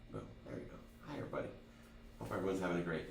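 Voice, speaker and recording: An energetic male voice with audible room echo and noticeable background noise. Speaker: driving instructor. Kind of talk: online class lecture. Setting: live stream. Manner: stutter.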